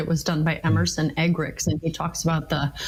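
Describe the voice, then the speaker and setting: A woman speaks at a fairly quick pace with an American accent. Noticeable background noise runs underneath. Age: 60s. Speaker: marriage and communication expert, author. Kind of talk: interview.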